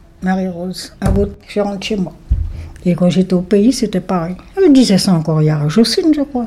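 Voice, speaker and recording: At a moderate pace, a woman with a medium pitch speaks over noticeable background noise. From French Guiana, Saint-Laurent-du-Maroni. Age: 70s. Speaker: retired emigrant interviewee. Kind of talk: personal testimony interview.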